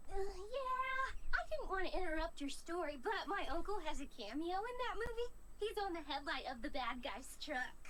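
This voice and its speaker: An extremely high-pitched put-on character voice at a moderate pace, hardly any pauses, over clear background noise. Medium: machinima. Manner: bubbly, chatty.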